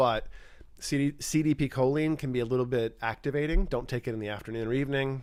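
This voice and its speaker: Lively intonation marks a man's speech on a very clean recording with a silent background. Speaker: neuroscientist live stream host. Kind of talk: live stream Q&A. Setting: live stream. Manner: fast; casual, hesitant fillers.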